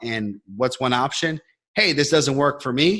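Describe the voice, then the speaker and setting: A man's medium-pitched voice, bright and sharp in tone, with lively intonation at a moderate pace, on a very clean recording with a silent background. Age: 20s. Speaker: online business coach. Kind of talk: interview.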